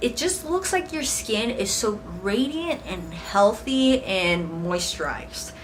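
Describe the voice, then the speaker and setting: A woman speaks with an American accent. Audible room echo and noticeable background noise fill the recording. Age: 20s. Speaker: beauty vlogger. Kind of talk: product review. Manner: casual, with fillers.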